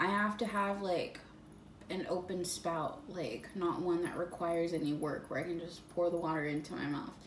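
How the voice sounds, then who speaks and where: Audible room echo surrounds speech delivered at a moderate pace with ordinary pitch variation. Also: woman. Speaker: fitness vlogger. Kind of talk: casual vlog monologue. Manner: hesitant, many fillers.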